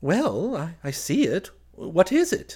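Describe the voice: A man does a put-on character voice that is high-pitched, dark and mellow with a slightly husky edge, moving slowly through very wide pitch swings.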